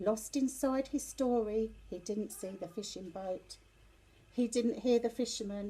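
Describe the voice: A woman speaks at a fairly slow pace in a dark, mellow tone with ordinary pitch variation. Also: fairly high pitch for a woman.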